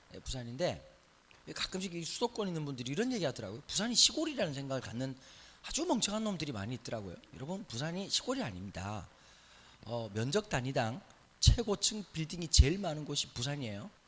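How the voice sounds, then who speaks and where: A man with a Busan accent talks very fast, his pitch swinging very widely. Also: fairly high pitch for a man. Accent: Busan (Gyeongsang). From Busan, South Korea. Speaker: pastor. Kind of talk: sermon. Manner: conversational.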